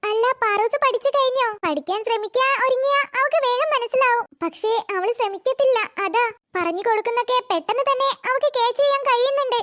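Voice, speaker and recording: Extremely high-pitched and very even in loudness, a woman performs a cartoonish character voice in a dry, close sound with no echo. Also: moderate pace, ordinary pitch variation. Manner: soft, patient, encouraging.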